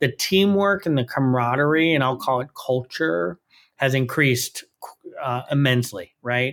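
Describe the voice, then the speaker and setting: An ordinary speaking voice at a moderate pace, on a very clean recording with a silent background. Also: man. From New York City. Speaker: chief information officer. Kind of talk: interview.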